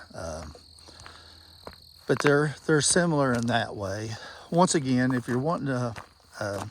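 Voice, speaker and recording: A man speaks at a fairly slow pace with a medium pitch and lively intonation. Long pauses come often, and background noise is noticeable. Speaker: product reviewer. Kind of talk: outdoor vlog tutorial. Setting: outdoors in the woods. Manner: halting.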